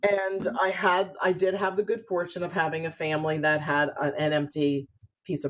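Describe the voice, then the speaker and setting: A woman with a very deep, low pitch speaks at a fairly quick pace in a New York accent. Music plays in the background. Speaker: spiritual entrepreneur and author. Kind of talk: interview. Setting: video call.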